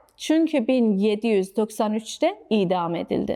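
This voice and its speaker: A woman with a slight non-native accent and a fairly high pitch, dark and mellow in tone, with very wide pitch swings at a very slow pace. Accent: slight non-native accent in Turkish. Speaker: history explainer host. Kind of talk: storytelling history explainer narration.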